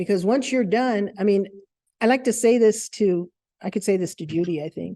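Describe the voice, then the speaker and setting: At a moderate pace, a woman talks in a medium pitch and a dark, mellow tone, with ordinary pitch variation. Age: 60s. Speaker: counseling program director. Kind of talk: talk to an audience. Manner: conversational.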